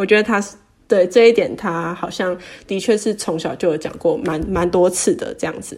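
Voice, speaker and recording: A woman with an unremarkable speaking voice talks at a moderate pace, at medium pitch with ordinary pitch variation. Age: 20s. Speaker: personal finance Instagram creator. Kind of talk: casual interview.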